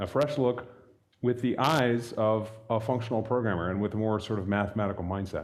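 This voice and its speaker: A man talks at a fairly quick pace and medium pitch, with fairly even intonation. Audible room echo surrounds his voice. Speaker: software library developer, conference speaker. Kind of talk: technical talk. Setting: stage with audience at meetup.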